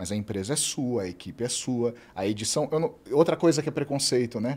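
With very wide pitch swings, a man speaks using vocal fry. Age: 40s. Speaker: travel content creator, host's husband. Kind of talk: casual chat. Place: studio. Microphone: studio mic.

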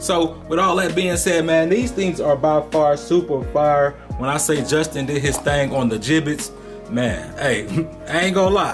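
Over clear music in the background, a man speaks with ordinary pitch variation. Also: moderate pace. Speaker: sneaker reviewer. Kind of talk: casual product review. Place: home room.

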